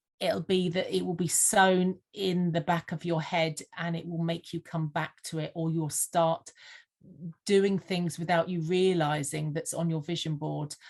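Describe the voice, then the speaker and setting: A woman with a slight Sussex accent speaks at a fairly slow pace. Her pitch is fairly low and her intonation monotone and flat. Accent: slight Sussex twang. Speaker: vision board mentor. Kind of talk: podcast interview. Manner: hesitant, frequent fillers.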